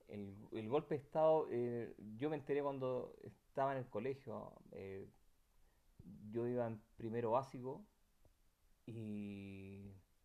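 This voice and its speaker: A man with a Chilean accent speaks at a medium pitch in a dark, mellow tone with ordinary pitch variation. His pace is very slow, with long, frequent pauses. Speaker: eyewitness interviewee. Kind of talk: personal testimony interview. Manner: halting, many repetitions and fillers.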